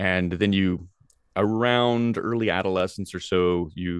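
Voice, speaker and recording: A man with an American accent speaks in a very deep, low pitch with fairly even intonation. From US South, Tennessee. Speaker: philosophy professor. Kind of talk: interview. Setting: video call.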